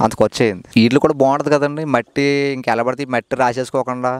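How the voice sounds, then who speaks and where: A man's fairly even intonation, dry with no echo, over a quiet background. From East Godavari district, Andhra Pradesh, India; Andhra Pradesh, India. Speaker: dairy farmer. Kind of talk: casual interview. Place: farm machine. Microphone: handheld.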